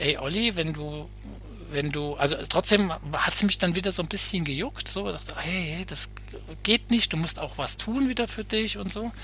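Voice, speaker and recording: A man talks at a fairly slow pace. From Hesse, Germany (Bad Nauheim). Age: 50s. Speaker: sports psychologist. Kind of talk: casual interview.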